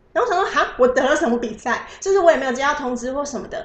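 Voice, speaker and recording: Talking at a very fast pace with lively intonation, a woman is heard with audible room echo. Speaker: photographer. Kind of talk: casual interview. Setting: host's home. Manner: soft-spoken.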